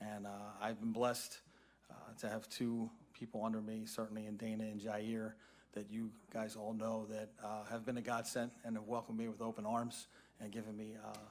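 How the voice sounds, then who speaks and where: An American-accented man at a fairly quick pace, with monotone, flat intonation. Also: fairly low pitch for a man. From Philadelphia (Roxborough), Pennsylvania. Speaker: parks and recreation director. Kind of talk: public meeting self-introduction.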